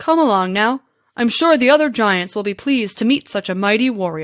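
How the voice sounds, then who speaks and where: A woman puts on a character voice, speaking at a fairly quick pace and a fairly high pitch. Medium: read story. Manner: relaxed, drowsy.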